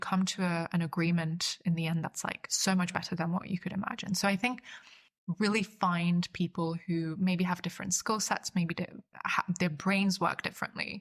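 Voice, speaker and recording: Somewhat breathy and fairly low in pitch, this woman's voice moves at a fairly quick pace. Her intonation is monotone and flat. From Austria, Vienna (born in Budapest). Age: 20s. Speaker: polyglot writer and cultural entrepreneur. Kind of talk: podcast interview. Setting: podcast. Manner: halting, many fillers and repetitions.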